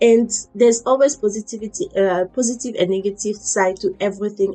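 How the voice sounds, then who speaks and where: At a fairly quick pace, a woman with an African accent speaks with fairly even intonation. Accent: African accent kept when speaking. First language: an African language. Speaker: fitness and motivation vlogger. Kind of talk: motivational talk.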